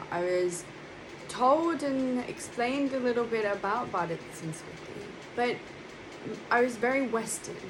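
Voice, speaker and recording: Amid noticeable background noise and audible room echo, a woman with a London accent talks at a moderate pace in a fairly high voice with ordinary pitch variation. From London, England. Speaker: monastic spiritual speaker. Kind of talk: spiritual talk. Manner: hesitant with fillers.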